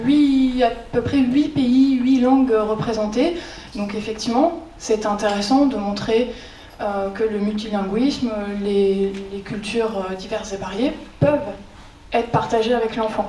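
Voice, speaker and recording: A woman talks fairly slowly in a fairly high pitch with ordinary pitch variation. Noticeable background noise and audible room echo are present. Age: 30s. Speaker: librarian. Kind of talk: conference talk. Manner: hesitant, many filler sounds; informal.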